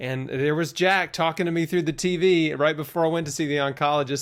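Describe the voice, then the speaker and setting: A man with a normal speaking voice, fairly high in pitch, ordinary pitch variation and a very clean recording with a silent background. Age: 30s. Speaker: health podcast host, cancer survivor. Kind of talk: interview. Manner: casual.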